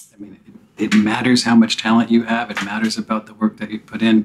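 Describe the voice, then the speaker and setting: Against light background noise, a man speaks in a fairly low pitch with monotone, flat intonation. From New Jersey (Bergen County), near New York; New Jersey. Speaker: filmmaker; podcast guest. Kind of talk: casual interview. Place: home room.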